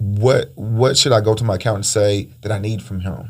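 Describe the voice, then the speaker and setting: At a moderate pace, the voice sounds somewhat breathy with fairly even intonation. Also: man. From Panama. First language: Spanish. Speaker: podcast host, real estate investor. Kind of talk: casual interview.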